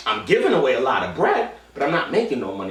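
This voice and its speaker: Over noticeable background noise and audible room echo, a man with an American accent speaks with very wide pitch swings. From Queens, New York City. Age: 20s. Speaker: poetry slam organizer. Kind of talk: documentary interview monologue. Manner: casual with frequent fillers and restarts.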